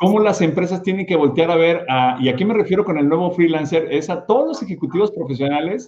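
A man's dark, mellow, somewhat breathy voice at a fairly quick pace, with lively intonation. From Mexico, Guadalajara. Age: 50s. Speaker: podcast host. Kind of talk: interview. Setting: studio.

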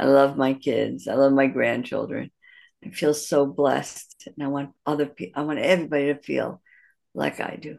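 Using vocal fry and a Midwestern American accent, a woman with a very deep, low pitch talks at a moderate pace, her loudness swinging widely. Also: ordinary pitch variation, quiet background. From US Midwest, Detroit. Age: 60s. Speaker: matchmaker. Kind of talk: interview. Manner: halting, many fillers and restarts.

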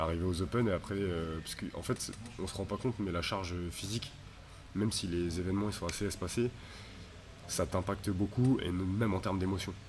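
Very deep and low-pitched, a man speaks at a moderate pace with fairly even intonation. Audible room echo surrounds his voice. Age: 20s. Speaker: CrossFit athlete. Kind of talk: casual interview. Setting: CrossFit gym.

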